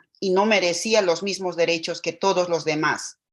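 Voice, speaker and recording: The woman's pitch sits in the medium range. She speaks fairly slowly against a quiet background. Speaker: domestic worker testifying at public hearing. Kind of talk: public testimony. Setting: video call.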